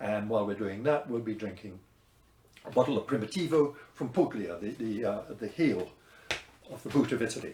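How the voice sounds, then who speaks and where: With a dark, mellow tone and a somewhat breathy quality, the speaker moves at a fairly quick pace with ordinary pitch variation and long, frequent pauses. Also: man, medium pitch for a man. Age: 70s. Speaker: wine teacher. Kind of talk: promotional talk. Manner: hesitant, with fillers.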